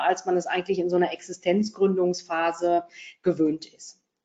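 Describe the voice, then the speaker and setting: A woman is speaking. Her tone is dark and mellow. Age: 40s. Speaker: financial advisor. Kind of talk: interview. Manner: hesitant, many fillers.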